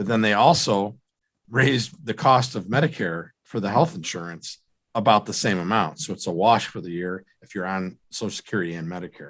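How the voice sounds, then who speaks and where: Over a quiet background, a man with a fairly low pitch uses lively intonation and big swings in loudness. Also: fairly quick pace. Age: 40s. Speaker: financial advisor. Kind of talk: radio show Q&A. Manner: halting, many fillers.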